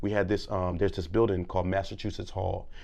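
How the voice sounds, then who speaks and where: This man has an American accent and a fairly low pitch. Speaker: public speaker and former teacher. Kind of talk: casual interview. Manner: loud; animated.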